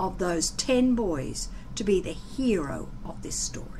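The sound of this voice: A reading voice, unforced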